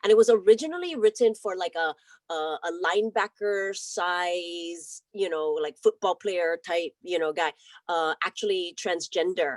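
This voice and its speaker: Here a woman speaks with a Hawaiian accent at a fairly slow pace and fairly low pitch. Her pitch variation is ordinary, and the sound is dry and close with no echo. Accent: Hawaiian American. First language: Hawaiian Pidgin. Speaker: actress. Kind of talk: casual interview chat.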